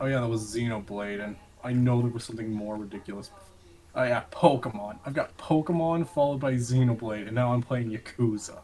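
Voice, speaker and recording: Talking at a fairly quick pace with hardly any pauses, a man is heard against noticeable background noise. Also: medium pitch for a man, ordinary pitch variation, big swings in loudness. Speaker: gaming YouTuber. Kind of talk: casual chat.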